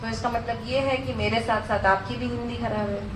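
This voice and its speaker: A woman talks at a moderate pace. The room echoes audibly, and background noise is noticeable. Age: 20s. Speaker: network marketing speaker. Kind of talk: motivational speech. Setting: stage with audience. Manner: halting.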